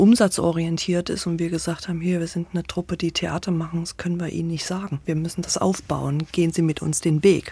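A woman talks at a fairly quick pace with a fairly low pitch and a dark, mellow tone. Her somewhat breathy delivery has monotone, flat intonation. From Thuringia, Weimar. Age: 50s. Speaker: theatre association director. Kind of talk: interview.

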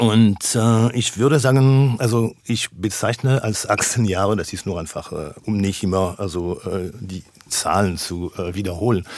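Speaking at a fairly slow pace with hardly any pauses, a man in a French accent keeps ordinary pitch variation. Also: fairly low pitch for a man. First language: French (speaking German). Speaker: philosopher. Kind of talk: radio interview. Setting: radio studio, remote. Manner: halting, many filler sounds.

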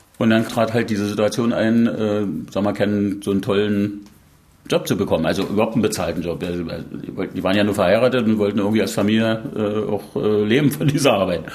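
A man speaks with a fairly low pitch. There is audible room echo. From Saxony, East Germany. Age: 60s. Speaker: pathologist. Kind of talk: interview.

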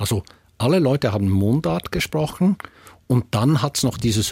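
A somewhat breathy man speaks at medium pitch with lively intonation, in a dry, close sound with no echo on a very clean recording with a silent background. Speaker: dialectologist professor. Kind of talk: expert discussion.

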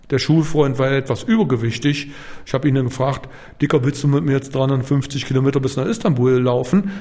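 A man with a fairly high voice and ordinary pitch variation talks while noticeable noise fills the background. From East Berlin, Germany. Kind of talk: interview testimony. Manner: casual.

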